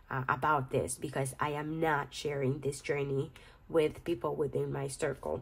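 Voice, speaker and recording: Vocal fry runs through this moderately paced delivery with a Spanish accent. The intonation stays fairly even. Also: woman. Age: 30s. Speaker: budgeting vlogger. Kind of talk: casual vlog tutorial. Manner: halting, repeats words.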